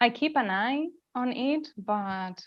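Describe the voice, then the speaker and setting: Against a quiet background, a woman talks with a non-native accent. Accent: foreign. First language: not English. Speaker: mindfulness and yoga teacher, former academic. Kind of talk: casual interview.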